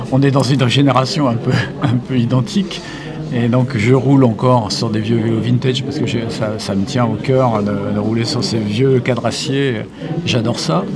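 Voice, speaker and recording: Music plays behind a man as he speaks. The room echo is audible. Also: medium pitch for a man, ordinary pitch variation, moderate pace. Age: 70s. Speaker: radio interviewer. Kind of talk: interview.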